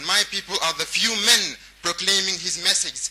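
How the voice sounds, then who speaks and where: Noticeable background noise is present while a man is speaking. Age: 20s. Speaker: performance poet. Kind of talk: spoken word poetry.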